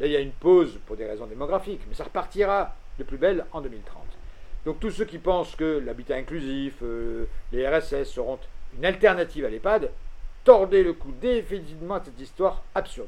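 Audible room echo surrounds a man who talks at a moderate pace with big swings in loudness. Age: old. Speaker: expert on ageing policy. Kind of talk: lecture. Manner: animated.

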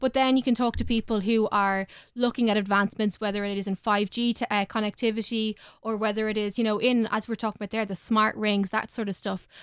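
A woman speaks very fast in an Irish accent, her pitch fairly high and her intonation monotone and flat. The recording is very clean and dry, close with no echo, over a silent background. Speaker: tech correspondent. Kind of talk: casual panel chat. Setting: studio.

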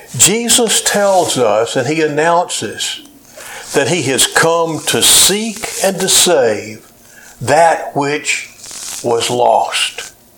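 A man's fairly high voice at a very slow pace, with very wide pitch swings and noticeable background noise. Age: 70s. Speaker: pastor. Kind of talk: sermon. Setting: church. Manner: hesitant with frequent uh fillers.

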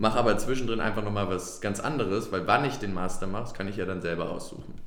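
A man's fairly low voice at a very fast pace, with ordinary pitch variation and audible room echo. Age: 30s. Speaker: startup CEO. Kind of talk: interview. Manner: halting, many fillers.

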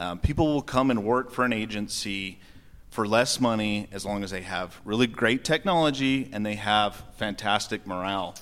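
With an American accent, a man talks at a moderate pace in a fairly low pitch with ordinary pitch variation, on a very clean recording with a silent background. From Grand County, Utah. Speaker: sheriff candidate, deputy. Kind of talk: debate. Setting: stage with audience.

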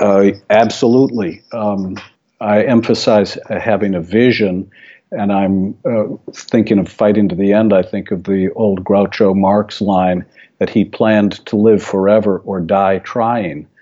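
A man's dark, mellow tone at a fairly low pitch, with monotone, flat intonation and a fairly slow pace. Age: 60s. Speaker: physician and author. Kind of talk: interview. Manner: halting.

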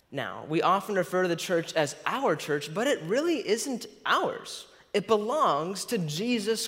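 This man's voice sits high and sounds fairly bright, with big pitch swings. He speaks at a fairly slow pace.

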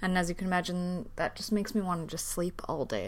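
Fairly even intonation and a mid-range pitch in a woman's speech. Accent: Canadian. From Canada. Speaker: podcast host. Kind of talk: solo casual podcast talk. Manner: hesitant, many fillers.

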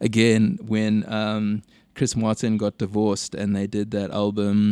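His dark, mellow tone set at a fairly low pitch, a man speaks at a fairly slow pace in a monotone, flat intonation. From South Africa, Durban. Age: 30s. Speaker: singer-songwriter. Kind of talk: casual chat.

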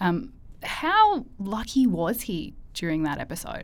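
With lively intonation and a medium pitch, a woman speaks in an ordinary speaking voice. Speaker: podcast host. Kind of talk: interview.

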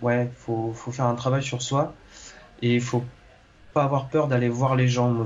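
At a moderate pace, a man speaks at medium pitch in a monotone, flat intonation. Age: 20s. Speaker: engineer turned aspiring actor. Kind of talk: interview. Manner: halting, many hesitations and repetitions.

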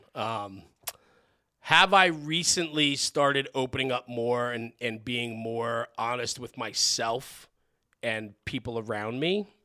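Very slowly, a man talks in an American accent with a bright, sharp tone. His pitch is medium with ordinary variation, on a very clean recording with a silent background. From New Jersey. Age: 40s. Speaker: podcaster and former fire chief. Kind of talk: casual interview chat.

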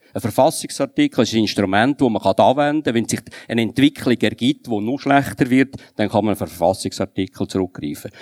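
A man with an ordinary speaking voice at a medium pitch, ordinary pitch variation and a fairly quick pace, dry and close with no echo, on a very clean recording with a silent background. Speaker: politician. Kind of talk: panel debate.

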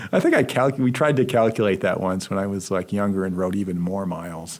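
Very deep and low in pitch, a man's voice moves at a moderate pace with ordinary pitch variation. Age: 60s. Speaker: history professor. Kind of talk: interview. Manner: hesitant, many fillers.

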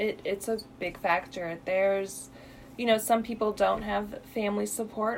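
An ordinary speaking voice from a woman with an American accent, medium in pitch, with ordinary pitch variation and a moderate pace. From Illinois. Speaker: radiation therapist. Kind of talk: radio interview.

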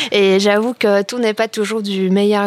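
A woman speaks in a Polish accent at a medium pitch. Her pace is fairly slow. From Poland. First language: Polish (speaking French). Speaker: radio panelist. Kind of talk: casual chat.

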